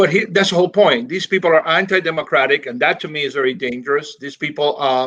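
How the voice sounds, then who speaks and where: The man talks at a fairly quick pace with lively intonation. His fairly high voice has a bright, sharp tone. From Miami, Florida (Cuban-born). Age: 60s. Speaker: professor. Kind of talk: interview.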